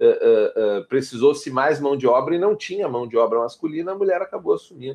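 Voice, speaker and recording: A man speaks in a plain, everyday voice at a fairly high pitch, keeping a moderate pace with lively intonation and hardly any pauses. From southern Brazil, Porto Alegre. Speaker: RPG game designer. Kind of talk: casual chat.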